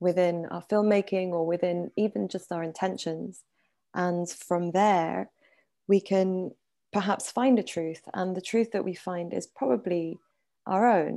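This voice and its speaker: A woman with a medium pitch and dark, mellow tone, ordinary pitch variation, fairly slow pace, very clean recording, silent background. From France (Paris), Iranian-British family. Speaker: documentary producer. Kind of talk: interview. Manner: halting.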